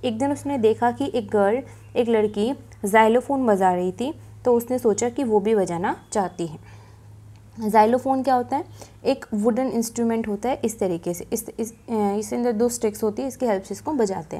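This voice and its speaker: With a dark, mellow tone, a woman talks at a fairly slow pace in a fairly high pitch, using ordinary pitch variation. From India. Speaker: teacher. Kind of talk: lecture. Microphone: phone near.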